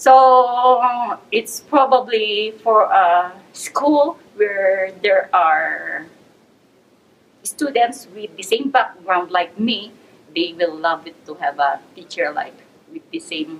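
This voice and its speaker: Over noticeable background noise, a woman with a Filipino accent speaks at a very slow pace in a fairly high pitch, with very wide pitch swings and big swings in loudness. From Philippines. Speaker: teacher. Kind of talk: interview. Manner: hesitant, with fillers.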